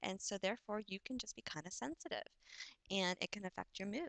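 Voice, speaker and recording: A woman speaks at a medium pitch with ordinary pitch variation, in a dry, close sound with no echo. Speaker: vlogger sharing illness experience. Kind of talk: casual talk to camera. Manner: halting.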